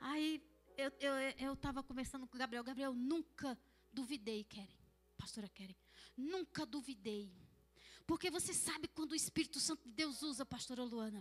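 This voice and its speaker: With a northeastern Brazilian accent, a woman speaks at a high pitch and a moderate pace, using ordinary pitch variation and long, frequent pauses. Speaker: pastor. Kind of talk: sermon.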